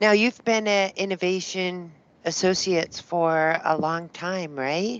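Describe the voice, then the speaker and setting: The speaker talks at a fairly slow pace with a slight East Coast accent. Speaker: software sales demonstrator. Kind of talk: business video call.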